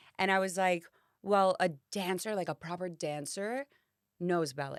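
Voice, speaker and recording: A woman speaks in an animated tone at a medium pitch with ordinary pitch variation. Her pace is moderate, and the sound is dry and close with no echo. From Miami, US. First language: Spanish. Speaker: actress and singer. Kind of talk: casual chat.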